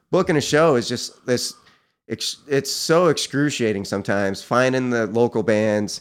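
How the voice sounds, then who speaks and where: A plain, everyday voice from a man with an American accent, medium in pitch with ordinary pitch variation, at a moderate pace, in a very clean recording with a silent background. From upstate New York (Cortland County). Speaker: musician and artist. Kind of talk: interview.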